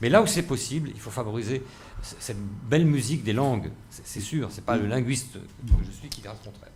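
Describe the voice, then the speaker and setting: A man with an Alsatian accent speaks at a fairly quick pace with ordinary pitch variation and big swings in loudness. There is audible room echo. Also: medium pitch for a man. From Alsace, Strasbourg. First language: Alsatian (speaking French). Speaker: university president, linguist. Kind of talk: panel debate. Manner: halting, many fillers and repetitions.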